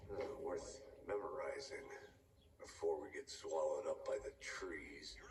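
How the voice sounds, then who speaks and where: A man's put-on character voice at an extremely high pitch and moderate pace, with clear echo and clear background noise. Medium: video game. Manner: dry, deadpan, terse.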